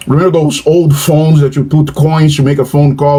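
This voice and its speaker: Noticeable background noise under a fairly high male voice. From Brazil. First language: Portuguese. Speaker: professor. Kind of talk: casual chat. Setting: video call. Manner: halting.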